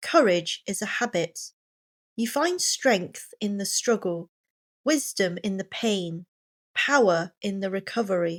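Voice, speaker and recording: A woman speaking very slowly in a Received Pronunciation accent, with lively intonation, in a very clean recording with a silent background and a dry, close sound with no echo. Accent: British Received Pronunciation. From England. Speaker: pronunciation coach. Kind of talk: motivational reading for pronunciation practice. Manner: slow, clear.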